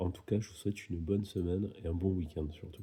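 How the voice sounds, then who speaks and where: A man speaks at a fairly quick pace, his pitch very deep and low, his tone dark and mellow. The voice is somewhat breathy, and the intonation stays fairly even. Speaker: tarot card reader. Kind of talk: tarot reading video monologue. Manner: casual, hesitant with fillers.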